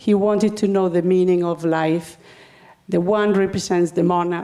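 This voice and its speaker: Her dark, mellow tone stays at a medium pitch, and this woman with a Spanish accent speaks at a moderate pace in a monotone, flat intonation with very even loudness and audible room echo. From Spain. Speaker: spiritual speaker. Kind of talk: talk to a congregation. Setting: spiritual center service with audience. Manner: halting, with fillers.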